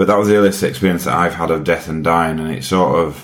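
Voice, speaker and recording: With a Yorkshire accent, a man speaks at a very deep, low pitch with vocal fry and ordinary pitch variation. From Yorkshire, England. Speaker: widower and health campaigner. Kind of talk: casual interview conversation about grief.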